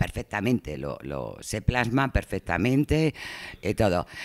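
The sound is close and dry, without any echo. The voice belongs to a man. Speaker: audience member. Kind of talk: panel talk.

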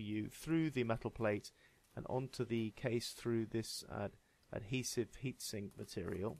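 A man with a British accent, medium in pitch. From UK. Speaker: tech hobbyist reviewer. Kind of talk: casual tech review talk to camera.

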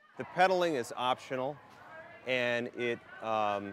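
A man speaks with ordinary pitch variation. The sound is dry with no echo, with light background noise. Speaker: interviewee. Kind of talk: interview answer. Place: street. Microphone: lapel.

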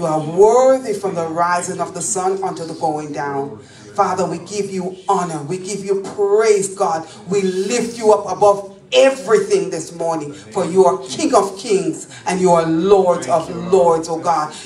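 A woman talks at a fairly slow pace with ordinary pitch variation and big swings in loudness, with audible room echo and light background noise. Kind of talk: public prayer. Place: church.

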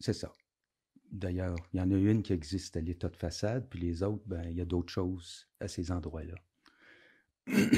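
Against a quiet background, a man speaks fairly slowly in a very deep, low voice. He sounds somewhat breathy, with fairly even intonation. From Quebec, Outaouais (Hull area); Quebec. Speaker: former concert venue programmer; podcast guest. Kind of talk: casual interview. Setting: studio, drinking beer. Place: studio. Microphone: studio mic.

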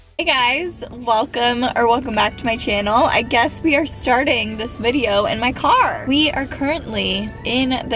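Clear music plays behind a woman speaking at a fairly slow pace. Her pitch variation is ordinary, and the sound is dry with no echo. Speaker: vlogger. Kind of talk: casual vlog chat. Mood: upbeat, joking. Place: car. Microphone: phone near.

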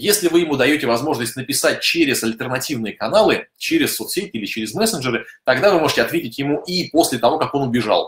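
At a fairly quick pace, a man speaks with lively intonation, audible room echo and a quiet background. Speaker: software company office head; webinar host, presenter. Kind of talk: webinar. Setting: online broadcast. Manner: fast talker. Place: home room.

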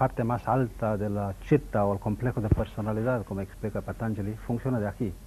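Over light background noise, a man speaks at a fairly quick pace and a fairly low pitch, his tone dark, mellow and somewhat breathy, with fairly even intonation. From India, Mangalore. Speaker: yoga and ayurveda teacher. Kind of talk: TV interview. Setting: TV studio. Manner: halting. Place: studio. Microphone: lapel.

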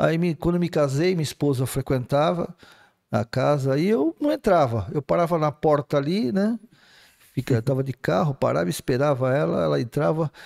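Against a quiet background, a man with a fairly high voice speaks at a moderate pace. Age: 60s. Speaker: spiritist speaker; speaker. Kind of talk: casual chat. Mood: calm, explanatory. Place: studio. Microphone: studio mic.

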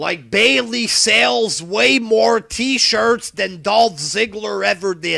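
Over a quiet background, a man with a high pitch speaks very slowly with hardly any pauses, his raised, projected voice bright and sharp in tone and lively in intonation. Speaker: wrestling commentary vlogger. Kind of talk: profane solo rant. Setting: home webcam recording. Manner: animated, profane. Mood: angry, exasperated ranting. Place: home room.

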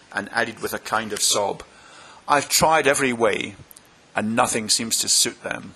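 What we hear is plain reading aloud.

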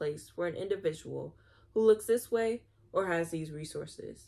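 A woman's pitch varies in an ordinary way as she talks at a fairly quick pace. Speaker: video host reading aloud. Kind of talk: reading aloud. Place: home room. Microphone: phone near.

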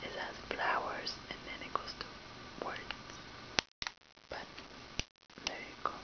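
A woman whispers at a fairly slow pace. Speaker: ASMR video host. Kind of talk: casual talk to camera. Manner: whispered, soft-spoken. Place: home room. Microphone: webcam.

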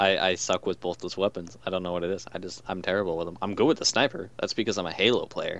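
Talking at a very fast pace with hardly any pauses, a man with a very deep, low pitch shows ordinary pitch variation. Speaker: gaming podcast host. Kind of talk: casual chat. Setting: online voice call.

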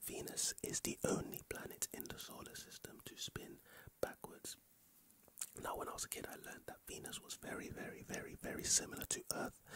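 Whispering and soft-spoken, a man talks at a fairly quick pace with light background noise. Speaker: ASMR creator. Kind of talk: soft-spoken ASMR fact sharing. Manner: soft intimate ASMR whisper. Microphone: studio mic.

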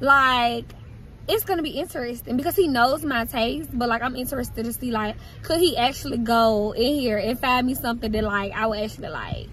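A woman at a high pitch and fairly quick pace, dry sound with no echo, light background noise. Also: ordinary pitch variation. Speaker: vlogger. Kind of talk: casual vlog chat. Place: car. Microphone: phone near.

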